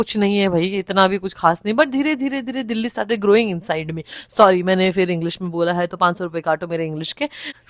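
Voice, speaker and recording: A woman with an animated tone talks at a medium pitch with ordinary pitch variation and hardly any pauses. The recording is very clean and silent behind her, with a dry, close sound and no echo. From Northeast India (Nagaland). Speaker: flight attendant and vlogger. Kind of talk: casual vlog. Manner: animated, mixing Hindi and English.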